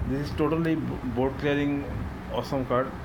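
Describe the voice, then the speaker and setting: A man is speaking. Loud background noise fills the clip. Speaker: video game content creator. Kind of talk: casual gaming video commentary. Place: home room. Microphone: phone near.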